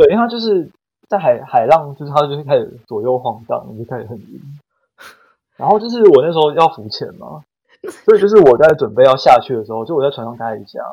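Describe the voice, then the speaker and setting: A man's fairly high, dark and mellow voice at a very fast pace, with very wide pitch swings and big swings in loudness. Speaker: podcast guest. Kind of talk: casual chat.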